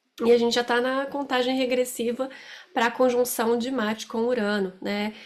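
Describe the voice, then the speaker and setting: A woman talks fairly slowly, keeping her intonation monotone and flat. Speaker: astrologer. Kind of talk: astrology forecast talk to camera. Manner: loud; hesitant, many fillers.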